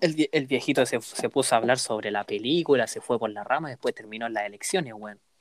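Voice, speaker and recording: A Chilean accent with hardly any pauses and big swings in loudness, in a dry, close sound with no echo. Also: man, medium pitch for a man, ordinary pitch variation. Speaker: university student podcaster. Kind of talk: casual chat.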